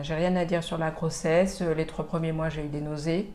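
A woman with a very deep, low voice speaks fairly slowly in a flat monotone. Room echo can be heard, along with noticeable background noise. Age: 40s. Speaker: mother sharing late motherhood story. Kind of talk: testimony.

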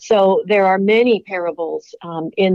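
In an unremarkable speaking voice, a woman talks with fairly even intonation. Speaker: religion professor and author. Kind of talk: interview.

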